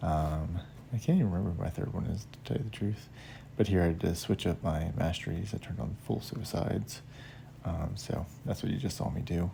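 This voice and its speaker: Quiet, fairly quick speech with vocal fry, a dark, mellow tone and very wide pitch swings. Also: man, very deep, low pitch for a man. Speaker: gaming youtuber. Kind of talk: gameplay commentary. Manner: quiet, hushed; hesitant, many fillers.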